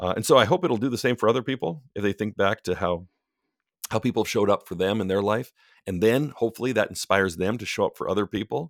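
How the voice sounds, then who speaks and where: A very fast-talking man at a fairly low pitch, in a very clean recording with a silent background. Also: ordinary pitch variation. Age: 40s. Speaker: author and book editor. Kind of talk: casual chat.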